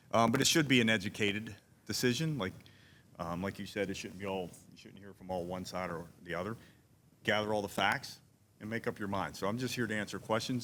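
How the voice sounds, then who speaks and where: On a very clean recording with a silent background, a man with a Pittsburgh accent talks at a very fast pace. His voice is fairly low in pitch, bright and sharp in tone, with fairly even intonation. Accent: Pittsburgh (Yinzer). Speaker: commercial real estate consultant. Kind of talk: town hall panel talk. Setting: town hall with audience.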